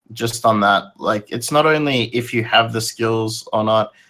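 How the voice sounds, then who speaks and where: This man has a bright, sharp tone at medium pitch. He talks at a fairly slow pace with ordinary pitch variation. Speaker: co-host, infosec hobbyist. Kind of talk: casual chat. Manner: casual, swears.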